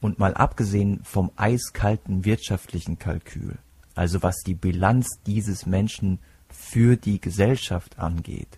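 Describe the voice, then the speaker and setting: A man's somewhat breathy, dark, mellow voice, fairly low in pitch, with fairly even intonation, a very slow pace and a dry, close sound with no echo. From Palatinate, Germany. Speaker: podcast host, psychology student. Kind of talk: solo podcast monologue.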